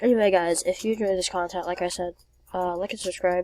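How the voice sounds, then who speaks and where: Very fast and in a monotone, flat intonation, a woman talks with a dark, mellow tone. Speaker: gaming youtuber. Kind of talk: gameplay commentary. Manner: slurred.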